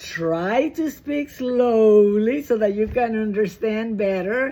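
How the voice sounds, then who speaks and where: A woman with a Spanish accent speaks at a very slow pace and fairly high pitch, with ordinary pitch variation. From Dominican Republic. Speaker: direct sales director. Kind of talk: training talk. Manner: animated.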